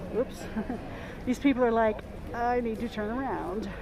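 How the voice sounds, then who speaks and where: A high-pitched woman with an American accent at a moderate pace, ordinary pitch variation, and music in the background. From US South, Mississippi Gulf Coast. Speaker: livestreamer. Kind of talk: live stream walkthrough. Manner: halting, many fillers and repeats.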